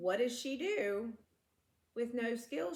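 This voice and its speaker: A woman with a Southern US accent speaks at a fairly high pitch. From US South. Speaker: true crime podcast co-host. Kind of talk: casual storytelling chat. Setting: home living room, filmed. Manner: animated.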